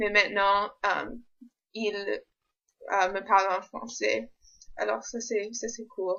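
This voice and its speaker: A woman's medium-pitched voice with vocal fry, very slow delivery, fairly even intonation and long, frequent pauses. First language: English (speaking French). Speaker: university student vlogger. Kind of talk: vlog. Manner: halting, many hesitations.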